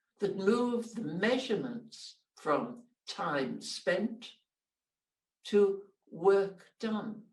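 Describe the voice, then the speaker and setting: A woman speaks at a very slow pace in a somewhat breathy voice. Her pitch variation is ordinary. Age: 80s+. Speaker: IT entrepreneur and philanthropist. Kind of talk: conference talk.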